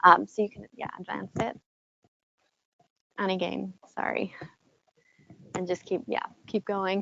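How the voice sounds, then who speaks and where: Soft-spoken and swinging widely in loudness, a woman talks at a fairly slow pace with long, frequent pauses, the sound dry and close with no echo. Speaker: corporate trainer, workshop presenter. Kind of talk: presentation workshop. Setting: room with live audience, also streamed online.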